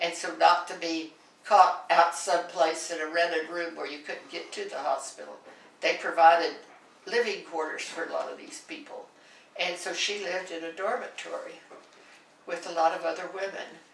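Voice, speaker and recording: Amid noticeable background noise and audible room echo, a woman talks at a moderate pace with big swings in loudness. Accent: American. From central Kansas, US. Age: 80s+. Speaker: oral history interviewee. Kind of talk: oral history interview. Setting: in-person interview.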